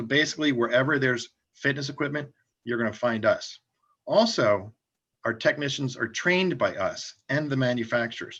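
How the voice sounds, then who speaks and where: Over a quiet background, a man with an ordinary speaking voice talks at a moderate pace and a medium pitch. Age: 60s. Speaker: franchise company founder. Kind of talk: interview.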